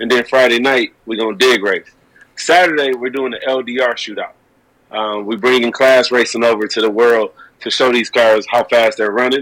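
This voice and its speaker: The speaker is a man at medium pitch. He moves at a fairly quick pace with fairly even intonation. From Detroit east side. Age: 30s. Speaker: drag racer and insurance agent. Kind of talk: casual chat. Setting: remote call.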